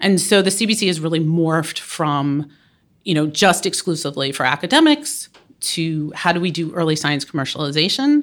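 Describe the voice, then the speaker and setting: A woman's fairly low-pitched, plain, everyday voice at a fairly quick pace, with ordinary pitch variation. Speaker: biomedical consortium director. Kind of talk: panel discussion.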